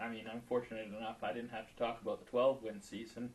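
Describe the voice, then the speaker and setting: Very fast speech from a man, with noticeable background noise behind it. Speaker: hockey play-by-play announcer. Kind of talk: casual chat.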